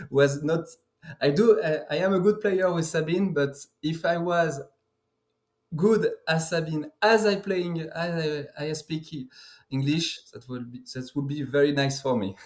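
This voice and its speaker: A man with a fairly high pitch speaks in a French accent. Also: ordinary pitch variation, fairly slow pace. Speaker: card game player. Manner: halting.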